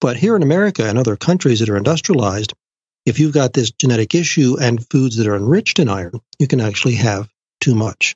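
At a very fast pace, a somewhat breathy man with a medium pitch uses lively intonation while keeping his loudness very even. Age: 60s. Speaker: genetic nutrition expert. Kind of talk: interview.

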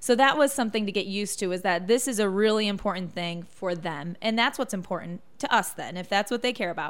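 A woman speaks with lively intonation. The recording is very clean, with a silent background. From Michigan. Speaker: TV news reporter. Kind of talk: casual interview.

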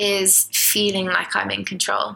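A woman speaks at a medium pitch with a bright, sharp tone. Vocal fry comes through in her voice. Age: 20s. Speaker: podcast co-host. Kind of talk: casual chat.

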